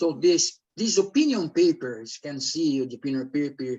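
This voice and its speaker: A man talks at a moderate pace. He speaks with a Brazilian Portuguese accent. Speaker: academic researcher. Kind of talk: conference presentation. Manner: halting.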